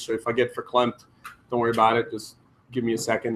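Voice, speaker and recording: A man with a Croatian accent. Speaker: entrepreneur. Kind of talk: conference talk. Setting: stage with audience.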